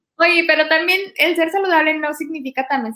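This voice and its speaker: A woman with a western Mexican accent speaks in a raised, projected voice. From Mexico, Guadalajara, Jalisco. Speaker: podcast host. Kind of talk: casual interview chat.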